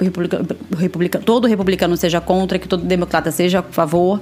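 Noticeable background noise behind a woman speaking fairly low. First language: Portuguese. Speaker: podcast host, translator and teacher. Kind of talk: casual chat.

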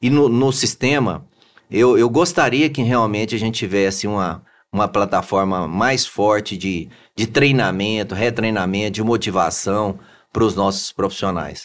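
A man talks at a fairly slow pace in a plain, everyday voice, with a fairly low pitch and ordinary pitch variation. The background is quiet. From Goiás, Brazil (Anápolis). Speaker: engineer and business owner, election candidate. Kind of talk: interview.

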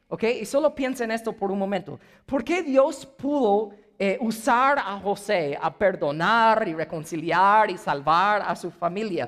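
A man's high, lively voice with an English accent at a fairly slow pace. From United States. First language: English (speaking Spanish). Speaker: pastor. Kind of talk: sermon.

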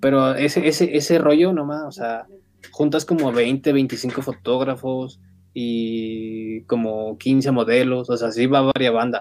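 At a very slow pace, a man speaks with fairly even intonation. His pitch sits at a medium level. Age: 20s. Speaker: photographer and graphic designer. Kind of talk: casual interview.

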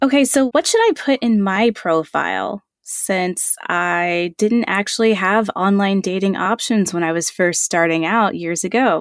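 In a very clean recording with a silent background and a dry, close sound free of echo, a woman talks at a fairly slow pace with hardly any pauses, using an ordinary speaking voice of medium pitch and ordinary pitch variation. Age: 30s. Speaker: podcast host. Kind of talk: casual interview.

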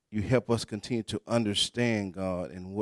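Reading aloud in a natural voice, with intonation that stays fairly even

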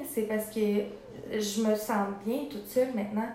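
Fairly high-pitched woman at a fairly slow pace, fairly even intonation, with audible room echo and noticeable background noise. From Quebec, Sorel area. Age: 20s. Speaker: former rehab resident in recovery. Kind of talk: interview testimony.

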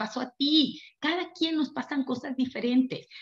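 A woman speaks at a high pitch. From Mexico, Durango. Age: 50s. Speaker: network marketing leader. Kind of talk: motivational seminar talk.

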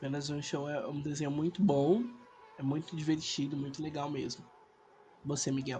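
A man's fairly high-pitched voice at a moderate pace, with fairly even intonation and long, frequent pauses, amid noticeable background noise. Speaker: podcast host. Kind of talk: casual chat.

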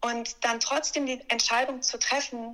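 A woman with an unremarkable speaking voice talks at a fairly slow pace. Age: 30s. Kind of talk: interview, personal testimony.

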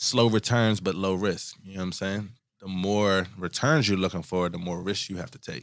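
A very clean recording with a silent background captures a man with a very deep, low pitch speaking at a moderate pace with big swings in loudness. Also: ordinary pitch variation. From Oxon Hill, Maryland (DC area). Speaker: podcast co-host, investor. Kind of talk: casual chat.

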